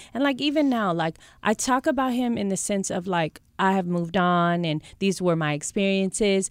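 A woman with an American accent and a plain, everyday voice, medium in pitch, lively in intonation, at a moderate pace with hardly any pauses, on a very clean recording over a silent background. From US West Coast, Bay Area. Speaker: reality TV personality and author. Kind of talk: casual interview chat. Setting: studio.

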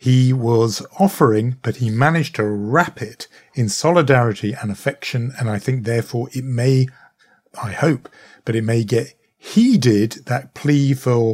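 This man speaks in a British accent, and his voice is somewhat breathy. His pace is moderate. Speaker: podcast co-host and journalist. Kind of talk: casual current-affairs discussion.

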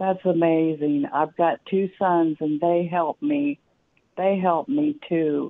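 Very slowly and at a very even loudness, a woman with an American accent speaks at a fairly low pitch that makes very wide swings. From US Midwest. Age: 60s. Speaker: caller. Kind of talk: call-in question. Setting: phone call.

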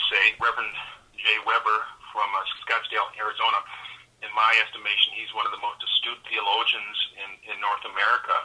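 A man with a Minnesotan accent speaks at a fairly quick pace. His loudness swings widely, and he takes long, frequent pauses. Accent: Minnesota. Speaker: pastor. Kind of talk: radio interview. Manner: hesitant, many fillers.

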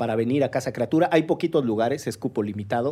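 In a very clean recording with a silent background, a man speaks at medium pitch with a dark, mellow tone and ordinary pitch variation. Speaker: podcast co-host. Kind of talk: casual chat. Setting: studio. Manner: animated, wordy.

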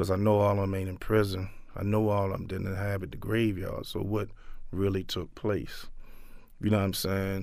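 A man with a fairly low pitch talks amid audible room echo. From Baltimore, East Baltimore. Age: 50s. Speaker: violence prevention outreach manager. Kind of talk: interview testimony.

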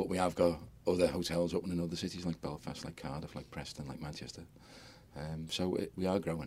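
A man with a very deep, low pitch talks very fast with fairly even intonation. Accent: Liverpool. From Liverpool, England. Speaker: hotel business owner. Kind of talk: interview. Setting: studio.

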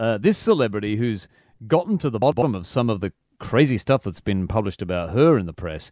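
At a fairly quick pace, a man's pitch swings very widely in a very clean recording with a silent background and a dry, close sound with no echo. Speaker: comedy radio host. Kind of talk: casual comedic chat.

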